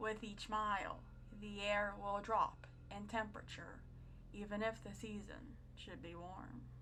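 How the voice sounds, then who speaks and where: Her loudness swings a great deal as this woman speaks at a fairly slow pace. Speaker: creepypasta narrator. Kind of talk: horror story narration. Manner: whispering, creepy.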